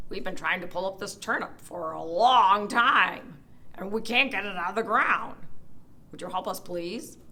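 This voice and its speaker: Put-on character voice, female-sounding, at a middle pitch and moderate pace, over light background noise. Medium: read story.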